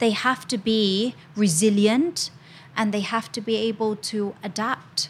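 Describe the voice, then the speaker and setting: A woman with a fairly high, somewhat breathy voice speaks at a fairly slow pace. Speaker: English teacher and educator. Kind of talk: casual panel discussion. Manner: animated.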